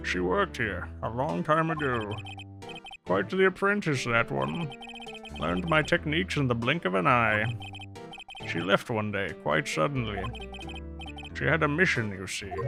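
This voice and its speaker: A man puts on a character voice, pitched fairly low. Clear music plays in the background. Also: moderate pace. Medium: game stream. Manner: pompous, old-fashioned, throat-clearing.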